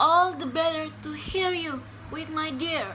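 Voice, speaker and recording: Over clear background noise, a put-on character voice speaks high-pitched at a fairly slow pace. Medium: read story.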